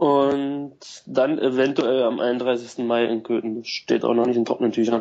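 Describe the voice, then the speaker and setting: The speaker has a plain, everyday voice. Delivery is fairly slow, with fairly even intonation. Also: man, medium pitch for a man. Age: 20s. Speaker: cross golf club founder. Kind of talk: casual chat.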